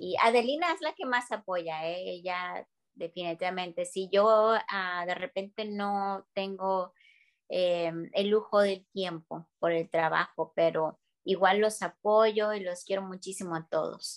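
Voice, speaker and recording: A woman speaks very slowly at a medium pitch with ordinary pitch variation. The sound is dry and close, with no echo. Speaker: stage actress. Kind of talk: casual interview.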